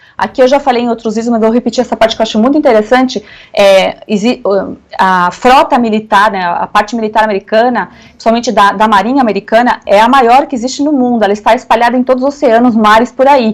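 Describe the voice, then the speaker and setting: This woman has a fairly high pitch and fairly even intonation. She talks at a very fast pace. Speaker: lawyer and conservative political commentator. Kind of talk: radio interview. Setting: radio studio interview.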